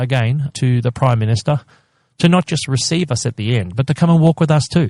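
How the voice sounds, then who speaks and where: A man's somewhat breathy voice, dark and mellow in tone with ordinary pitch variation, comes across dry and close with no echo. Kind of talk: interview, advocacy. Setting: podcast interview. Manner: passionate, emphatic.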